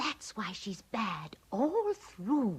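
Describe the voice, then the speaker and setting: A female-sounding voice with a fairly high pitch performs a put-on character voice. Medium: fan dub. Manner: cosy, motherly, calls others dearie.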